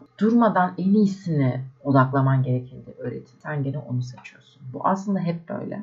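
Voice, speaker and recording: Over noticeable background noise, a woman with a very deep, low voice talks at a moderate pace with lively intonation. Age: 20s. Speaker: podcaster. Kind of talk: solo reflective monologue. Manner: casual, conversational.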